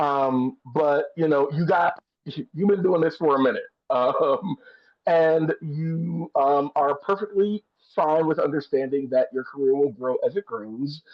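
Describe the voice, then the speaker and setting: With a plain, everyday voice, a man of fairly high pitch talks at a fairly slow pace and ordinary pitch variation. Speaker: theater director and consultant. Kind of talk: one-on-one consultation. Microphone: earbuds in, connection may cut out.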